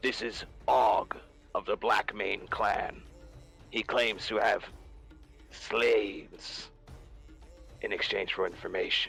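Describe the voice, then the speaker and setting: A man performs a put-on character voice at a fairly slow pace, with long, frequent pauses. Clear music plays in the background. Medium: actual play. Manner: curt, gruff.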